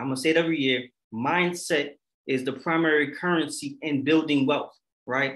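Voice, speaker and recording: Intonation here is fairly even. The voice carries a bright, sharp tone. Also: man. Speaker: financial literacy panelist; panelist. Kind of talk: virtual workshop panel. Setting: video call. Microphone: webcam.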